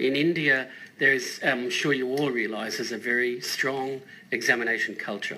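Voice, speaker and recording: A man's medium-pitched voice with an Australian accent, ordinary pitch variation, a moderate pace and audible room echo. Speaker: school principal. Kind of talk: radio panel interview.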